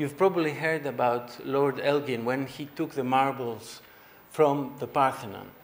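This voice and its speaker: Audible room echo accompanies a man speaking at a moderate pace with a Greek accent. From Greece. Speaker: artist giving keynote speech. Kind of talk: conference speech. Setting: conference hall with audience.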